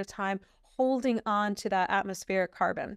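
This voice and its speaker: A woman speaks with a fairly high pitch and fairly even intonation. The sound is dry and close, with no echo. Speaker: professor. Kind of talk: lecture. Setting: webinar. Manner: fast; hesitant fillers.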